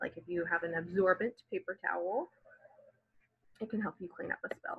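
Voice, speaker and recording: With an American accent, a woman speaks at a medium pitch. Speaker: elementary school teacher. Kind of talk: reading aloud lesson for children.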